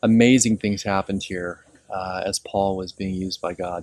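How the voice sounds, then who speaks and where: A soft-spoken man talks at a moderate pace in a monotone, flat intonation, the sound dry and close with no echo. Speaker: pastor. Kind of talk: informal teaching on location. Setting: outdoors at ancient ruins. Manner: hesitant, many fillers.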